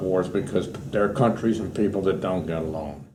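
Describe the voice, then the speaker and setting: With an American accent, this dark, mellow tone carries lively intonation at a fairly quick pace, with audible room echo. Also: man. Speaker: war veteran. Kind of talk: oral history interview.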